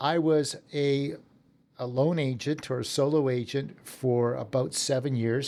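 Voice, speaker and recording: In a Western Canadian accent, the voice carries a dark, mellow tone with fairly even intonation. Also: man. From Canada, southern Alberta. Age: 60s. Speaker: real estate team leader. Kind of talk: podcast interview. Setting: office.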